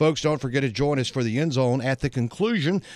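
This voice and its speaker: Fairly quick speech in an unremarkable speaking voice. The recording is very clean, with a silent background. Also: man. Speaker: sports news anchor. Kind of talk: news reading of halftime scores. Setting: studio. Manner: brisk, formal.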